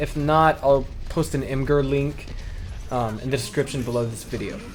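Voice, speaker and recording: The speech moves at a fairly quick pace with fairly even intonation while music plays in the background. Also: man. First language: not Chinese. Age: 20s. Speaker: esports commentator. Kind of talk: casual vlog monologue. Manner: hesitant, with fillers.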